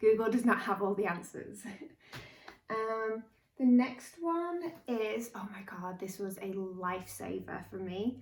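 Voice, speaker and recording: Over noticeable background noise, a woman with a British accent talks at a fairly slow pace with lively intonation and big swings in loudness. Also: medium pitch for a woman. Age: 30s. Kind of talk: casual talk to camera.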